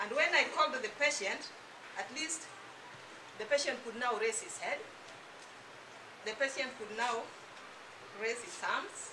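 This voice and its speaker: With audible room echo and noticeable background noise, a woman speaks in a high voice at a fairly slow pace, her intonation lively. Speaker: health product distributor giving a testimony. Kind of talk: testimony.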